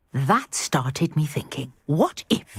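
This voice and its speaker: In a put-on character voice, the speaker growls at a middle pitch and a fairly slow pace. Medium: video game. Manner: brisk, proper, scholarly.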